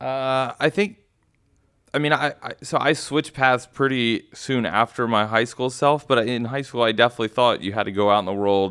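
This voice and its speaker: On a very clean recording with a silent background, a man speaks in a plain, everyday voice with ordinary pitch variation. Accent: American. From Texas, Houston. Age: 30s. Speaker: startup founder and CEO. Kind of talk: interview.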